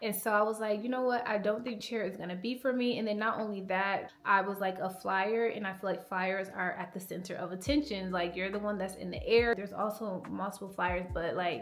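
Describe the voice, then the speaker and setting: A soft-spoken woman talks at a fairly quick pace and a medium pitch. Her intonation is fairly even, and room echo is audible. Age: 20s. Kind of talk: personal vlog monologue. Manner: casual, filler-heavy.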